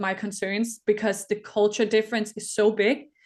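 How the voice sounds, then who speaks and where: Against a quiet background, a woman with a Danish accent speaks at a fairly high pitch and moderate pace in a monotone, flat intonation. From Denmark. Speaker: Olympic rower. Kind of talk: interview. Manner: hesitant, many fillers and restarts.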